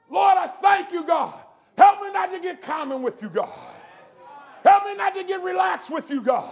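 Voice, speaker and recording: Shouting over crowd noise in the background, a man with an extremely high pitch speaks in an animated tone at a moderate pace, with big swings in loudness, long, frequent pauses and ordinary pitch variation. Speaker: preacher. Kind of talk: sermon. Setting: church camp meeting with congregation.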